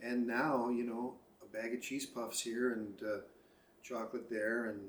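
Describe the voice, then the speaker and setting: Audible room echo surrounds a man's voice. He talks at a fairly slow pace with monotone, flat intonation. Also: medium pitch for a man. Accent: American. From Chicago, US Midwest. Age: 60s. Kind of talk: casual interview. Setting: at home by the lake.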